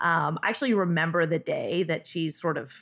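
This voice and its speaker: Delivered at a moderate pace, the voice has an American accent and a bright, sharp tone. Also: woman. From Northern California. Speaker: cheesemonger. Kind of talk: interview.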